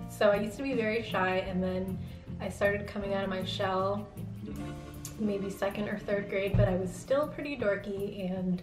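Moderate pace with clear music in the background. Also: woman. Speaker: vlogger. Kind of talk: casual vlog chat. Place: home room.

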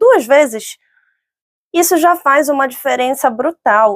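A woman's high-pitched voice with ordinary pitch variation at a fairly slow pace against a quiet background. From northern Brazil, Belém (Pará). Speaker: lawyer and career coach, speaker; lawyer, career coach. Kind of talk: online talk. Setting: online event. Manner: calm. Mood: calm, encouraging. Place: studio. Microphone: lapel.

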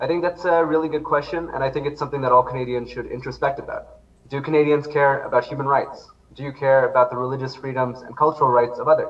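This man speaks very fast in a fairly high voice, his intonation fairly even. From Indian background. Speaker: advocacy researcher; guest. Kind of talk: interview. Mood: earnest, advocating. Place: home room. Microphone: video call.

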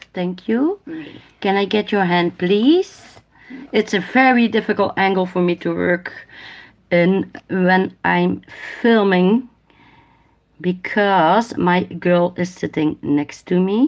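A woman speaks at a very slow pace with a Dutch accent, pausing long and often. Her pitch varies in an ordinary way against a quiet background. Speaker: nail technician livestreamer. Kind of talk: casual livestream tutorial. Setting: live stream. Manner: halting in English, switches languages. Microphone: phone near.

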